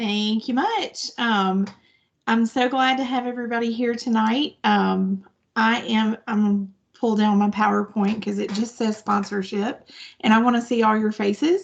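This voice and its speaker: A woman with a Southern US accent, fairly high pitch, a somewhat breathy sound, moderate pace and fairly even intonation. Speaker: nonprofit staff presenter. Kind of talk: virtual presentation.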